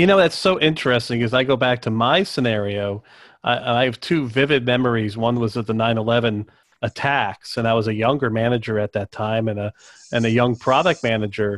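With an American accent, a man talks in an ordinary speaking voice at a medium pitch, with ordinary pitch variation and a fairly quick pace. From US South, North Carolina. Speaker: podcast host. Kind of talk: casual chat.

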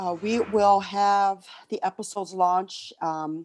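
A woman's voice sits at a medium pitch, her intonation fairly even, on a very clean recording where the background is silent. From South Side Chicago. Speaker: podcast host. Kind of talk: casual chat. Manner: halting.

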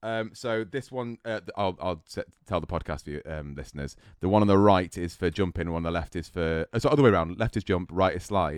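A man with an English accent, very deep and low in pitch with ordinary variation, at a fairly quick pace, in a dry, close sound with no echo and a quiet background. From English Midlands, Solihull. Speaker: competitive gamer and streamer. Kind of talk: casual chat.

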